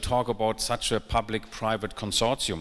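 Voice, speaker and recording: A man's bright, sharp-toned voice moves at a moderate pace. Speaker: food research consortium director and session chair. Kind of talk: conference presentation. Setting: stage with audience. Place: stage. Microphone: handheld.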